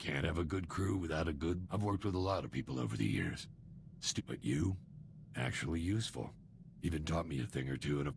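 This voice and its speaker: A man puts on a character voice, very deep and low in pitch. He speaks at a very fast pace over clear background noise. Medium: video game. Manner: casual, breezy.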